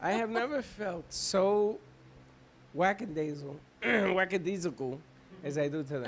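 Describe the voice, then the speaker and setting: Against noticeable background noise, a high-pitched man speaks at a fairly slow pace with lively intonation and long, frequent pauses. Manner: weary, disappointed.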